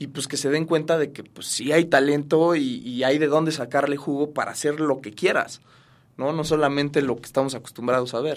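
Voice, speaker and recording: Delivered at a fairly quick pace, an ordinary speaking voice keeps a fairly even intonation. Its loudness swings widely. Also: man, fairly high pitch for a man. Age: 30s. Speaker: actor. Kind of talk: interview.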